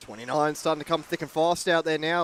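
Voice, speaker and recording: With an Australian accent, a man speaks in a fairly high voice, recorded dry and close with no echo. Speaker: RC racing commentator. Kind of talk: live race commentary. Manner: fast.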